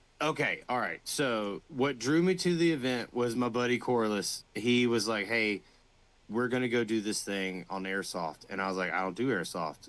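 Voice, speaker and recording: In a Southern US accent, a speaker goes at a moderate pace with lively intonation on a very clean recording with a silent background. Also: man, medium pitch for a man. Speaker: LARP player, first-time attendee. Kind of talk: casual chat.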